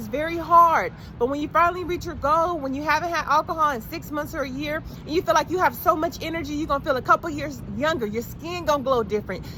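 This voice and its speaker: Amid noticeable background noise, a woman projects a raised, high voice with ordinary pitch variation. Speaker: motivational speaker. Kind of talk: motivational pep talk to camera. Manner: encouraging.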